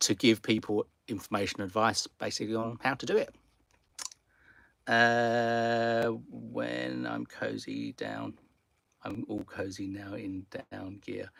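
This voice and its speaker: Very slowly, a man with a British accent speaks with long, frequent pauses and big swings in loudness. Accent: noticeable British accent, easy to follow. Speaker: car camping YouTuber. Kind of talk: live stream Q&A. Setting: sitting in garage. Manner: casual, some repetitions and hesitations.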